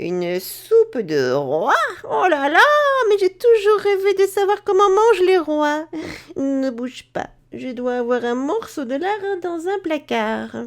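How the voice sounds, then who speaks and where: Using a put-on character voice, a woman talks at a high pitch and a fairly slow pace. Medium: read story. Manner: brusque.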